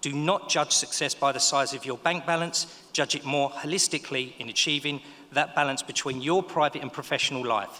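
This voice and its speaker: Speaking with a Cockney accent at a moderate pace, a man uses a fairly high pitch with ordinary pitch variation. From East London (Dagenham). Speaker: business owner, ceremony speaker. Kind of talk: graduation speech. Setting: stage with audience.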